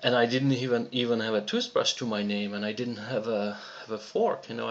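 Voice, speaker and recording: Amid noticeable background noise, a man speaks with a Czech accent at a moderate pace. His pitch is medium and his intonation fairly even. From Czechoslovakia. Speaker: online business promoter. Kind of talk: personal story in a sales video. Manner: halting, many fillers and repetitions.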